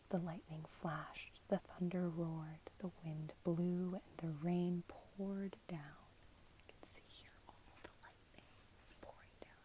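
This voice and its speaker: The speaker is soft-spoken and whispering. The pace is fairly slow. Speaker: ASMR content creator. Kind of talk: ASMR bedtime story reading, whispered, with repeated phrases. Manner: whispered, soft.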